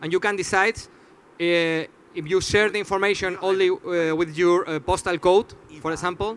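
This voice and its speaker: At a high pitch, a man with a non-native accent speaks at a moderate pace with fairly even intonation. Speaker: startup founder presenting. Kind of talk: audience Q&A; conference presentation. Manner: halting, many fillers.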